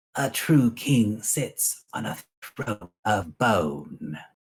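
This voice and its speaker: In a put-on character voice, a man speaks very slowly at a medium pitch. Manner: ominous.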